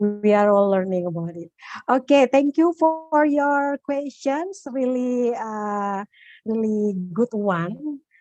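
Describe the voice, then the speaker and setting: Music plays in the background while the speech moves at a very slow pace with very wide pitch swings. The sound is dry and close, with no echo. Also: woman. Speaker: occupational safety professional. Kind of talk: webinar Q&A answer. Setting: online webinar call. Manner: hesitant, many fillers.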